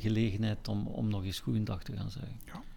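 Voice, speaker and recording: The voice is somewhat breathy and dark, mellow in tone, moving at a fairly slow pace with ordinary pitch variation, and audible room echo surrounds it. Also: man. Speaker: musical director. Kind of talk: casual chat. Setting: recorded in Kortrijk.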